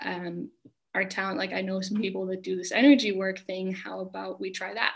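A woman with an American accent speaks at a medium pitch with ordinary pitch variation. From US, small mountain town. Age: young. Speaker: spiritual mentor. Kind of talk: interview. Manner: calm.

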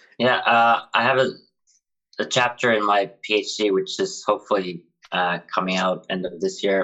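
This man has a Finnish accent and a fairly low pitch. He keeps a moderate pace with fairly even intonation. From Finland. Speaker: PhD student and drug policy activist. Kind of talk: casual chat. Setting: friend's house.

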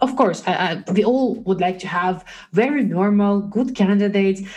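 The voice is somewhat breathy and moves at a fairly slow pace. Its pitch variation is ordinary. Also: woman. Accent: non-native. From Belarus. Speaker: recruiter. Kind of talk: casual interview chat. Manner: halting, many fillers and repetitions.

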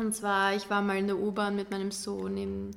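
A woman at a medium pitch and a fairly slow pace. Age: 20s. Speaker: art student and young mother. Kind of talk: interview, casual chat. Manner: hesitant, many fillers.

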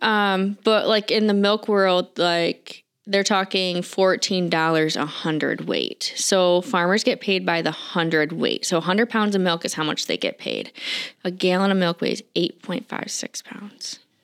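A normal speaking voice from a woman, medium in pitch with fairly even intonation, on a very clean recording with a silent background. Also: fairly slow pace. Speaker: farm store manager. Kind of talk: casual interview chat.

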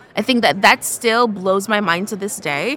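Noticeable background noise accompanies a woman speaking at medium pitch. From Jamaica. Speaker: developer advocate. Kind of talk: casual interview chat.

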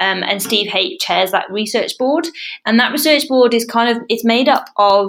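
A woman speaks at a moderate pace with a British accent. Her fairly high pitch carries lively intonation. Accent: British accent living in Australia. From England. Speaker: researcher on parkrun research board. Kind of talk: casual interview.

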